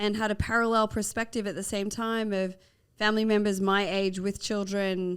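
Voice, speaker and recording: On a very clean recording with a silent background, a woman with an Australian accent speaks at medium pitch and a moderate pace, in a monotone, flat way. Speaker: nurse and health nonprofit founder. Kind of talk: podcast interview.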